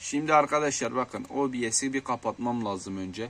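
A man's medium-pitched voice with ordinary pitch variation against a quiet background. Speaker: gaming YouTuber. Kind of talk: tutorial. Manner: casual and chatty.

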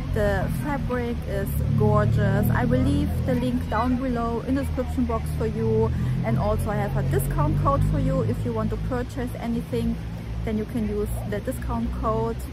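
A woman talks at a moderate pace over loud background music. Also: dry sound with no echo. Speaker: fashion vlogger. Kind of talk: casual vlog chat. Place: street. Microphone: phone near.

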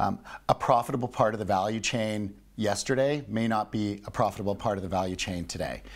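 In a Canadian accent, a man with an unremarkable speaking voice talks at a fairly quick pace, his fairly low pitch held to fairly even intonation. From Canada. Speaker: business executive and investor; guest. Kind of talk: interview. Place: studio. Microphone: lapel.

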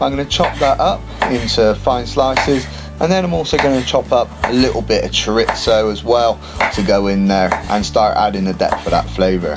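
Someone speaks at a moderate pace. Music plays in the background. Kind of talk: cooking tutorial narration.

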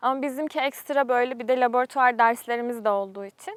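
A high-pitched woman talks at a moderate pace with fairly even intonation, her sound dry and close with no echo on a very clean recording with a silent background. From Turkey, Isparta. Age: 20s. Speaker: graduate student. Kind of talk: interview.

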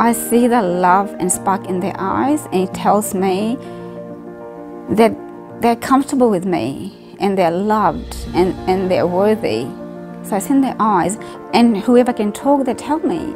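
A woman talks fairly slowly while clear music plays behind her. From Fiji. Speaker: elderly care worker. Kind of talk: interview answer. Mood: warm, heartfelt. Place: home room.

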